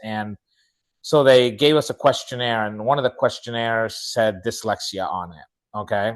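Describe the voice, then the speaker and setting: A man's medium-pitched voice at a moderate pace, with ordinary pitch variation and a quiet background. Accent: Spanish. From Chile, moved to Utah at nine. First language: Spanish. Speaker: speaker and author. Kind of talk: interview, personal story. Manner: animated storytelling.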